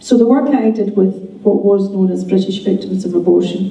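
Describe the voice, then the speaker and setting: Against noticeable background noise and audible room echo, a woman talks at a medium pitch with fairly even intonation. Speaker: midwife. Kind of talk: conference talk. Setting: conference audience. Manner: unscripted, with frequent hesitations.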